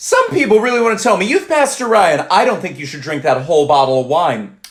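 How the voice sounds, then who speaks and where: A man talks fairly quickly, his pitch rising and falling very widely, while noticeable noise sits in the background. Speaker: comedian. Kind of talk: stand-up. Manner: fast; clear enunciation.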